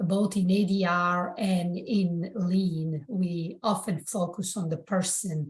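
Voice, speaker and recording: Speaking very slowly with hardly any pauses, a woman with an Italian accent uses a medium pitch, fairly even intonation and a somewhat breathy voice. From southern Italy, Bari. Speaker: architect and public-sector construction leader. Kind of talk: podcast interview.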